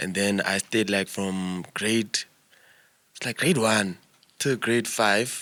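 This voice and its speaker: Long, frequent pauses break up a very slow delivery with a bright, sharp tone. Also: man, fairly low pitch for a man. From South Africa, Eastern Cape (Flagstaff, Mpondo area). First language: Xhosa. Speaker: musician. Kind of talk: casual interview chat. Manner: halting, filler-heavy.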